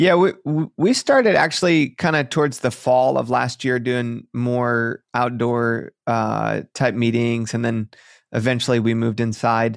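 Speaking at a fairly slow pace with ordinary pitch variation, a man uses an ordinary speaking voice at medium pitch, recorded with a dry, close sound and no echo. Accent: American. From Michigan, near Detroit. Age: 30s. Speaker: pastor. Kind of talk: interview.

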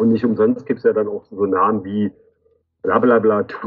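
The delivery has a moderate pace. There is music in the background. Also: man. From Magdeburg, eastern Germany. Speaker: graffiti artist. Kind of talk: interview. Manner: halting, many fillers.

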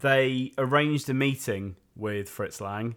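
A man with a Yorkshire accent speaks with ordinary pitch variation. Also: very clean recording, silent background. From West Yorkshire, Leeds. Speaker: podcast co-host. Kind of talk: casual chat.

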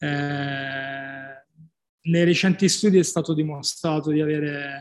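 The man's fairly high voice stays in a monotone, flat intonation. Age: 40s. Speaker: CrossFit gym owner and fitness coach. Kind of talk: podcast interview. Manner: halting, many repeated words.

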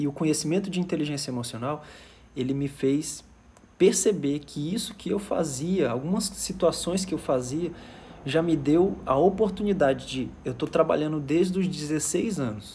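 Dark and mellow in tone, a man with a fairly high voice talks at a moderate pace with ordinary pitch variation. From Fortaleza, Ceará, Brazil. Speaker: emotional intelligence coach. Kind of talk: live stream talk. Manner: animated.

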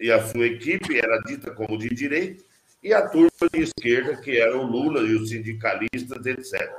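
An unremarkable speaking voice holds a moderate pace with ordinary pitch variation. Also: man, medium pitch for a man. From southern Mato Grosso, Brazil. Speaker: politician. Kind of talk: interview. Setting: video call.

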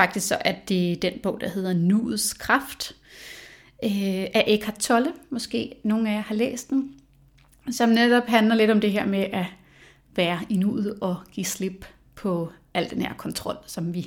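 In a somewhat breathy voice, a woman talks very slowly. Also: medium pitch for a woman, ordinary pitch variation. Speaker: podcast host. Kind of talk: solo podcast monologue. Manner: hesitant with fillers.

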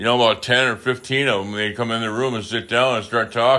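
In a very clean recording with a silent background, a man with an Upper Midwest accent speaks at a medium pitch in a bright, sharp tone, with ordinary pitch variation. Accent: Upper Midwest American. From Wisconsin. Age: 50s. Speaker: podcaster in recovery. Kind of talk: casual monologue. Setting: home recording.

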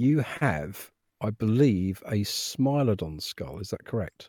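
At a very slow pace, a man's voice swings very widely in pitch, recorded dry and close with no echo. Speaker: caller. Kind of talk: casual chat. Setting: video call.

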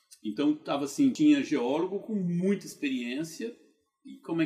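Here a man speaks at a moderate pace. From Brazil, Goiânia, Goiás. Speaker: geologist turned entrepreneur. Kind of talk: interview storytelling.

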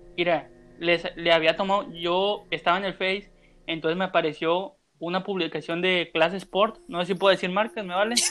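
A man's high voice with fairly even intonation at a moderate pace. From Mazatlán, Mexico. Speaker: wrestling podcaster. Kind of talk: casual chat. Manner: halting, repeats words.

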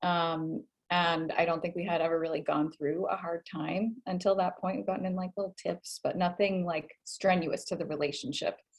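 A woman speaks in a normal speaking voice with a fairly low pitch and fairly even intonation. Her pace is moderate, with hardly any pauses. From US, Boston area (Massachusetts). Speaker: life and love coach. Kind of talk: casual interview chat.

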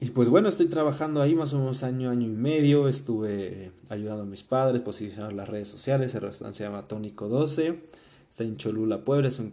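A man talks at medium pitch with ordinary pitch variation. His tone is dark and mellow. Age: 20s. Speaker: podcast host. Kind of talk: personal storytelling monologue. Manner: casual, filler-heavy with repetitions.

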